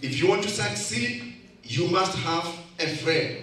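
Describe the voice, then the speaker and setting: Over light background noise and with audible room echo, a man speaks at a very slow pace. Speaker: speaker. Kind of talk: motivational speech. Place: hall.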